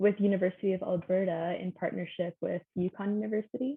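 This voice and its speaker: A woman speaks in an ordinary speaking voice at a medium pitch. She keeps a moderate pace and fairly even intonation. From Canada. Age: 20s. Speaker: science student. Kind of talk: interview.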